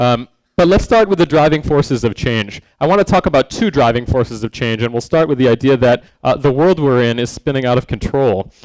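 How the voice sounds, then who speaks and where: A man's ordinary speaking voice at medium pitch, fairly quick pace, dry, close sound with no echo. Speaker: design speaker / educator. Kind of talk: conference talk. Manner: many filler words (um, uh).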